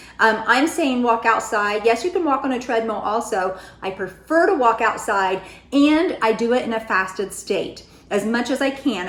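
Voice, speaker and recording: Noticeable background noise sits behind this woman's voice. She has a fairly high pitch and lively intonation. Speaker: weight loss vlogger. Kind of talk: casual vlog talk.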